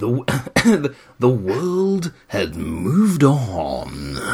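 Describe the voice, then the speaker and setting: Using a put-on character voice, a man speaks at a medium pitch with very wide pitch swings. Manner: overly dramatic.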